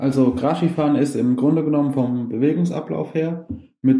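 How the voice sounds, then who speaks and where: His fairly high pitch carries a dark, mellow tone as the man speaks at a moderate pace with fairly even intonation. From Germany, Westerwald. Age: 20s. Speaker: grass skiing athlete. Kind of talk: interview. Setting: video call.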